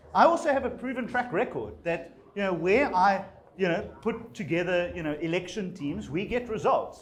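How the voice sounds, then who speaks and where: With audible room echo, a man talks at a moderate pace in a high pitch with lively intonation. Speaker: politician. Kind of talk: campaign speech. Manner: hesitant, many fillers.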